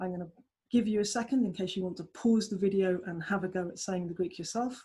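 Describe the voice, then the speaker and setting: Against a quiet background, a woman speaks at a medium pitch in a somewhat breathy voice. Her pace is fairly quick, with ordinary pitch variation. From southeast England. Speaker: language tutor. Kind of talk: tutorial.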